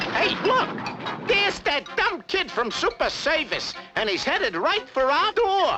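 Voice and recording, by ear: This is a cartoonish character voice at a moderate pace. Background noise is clearly audible.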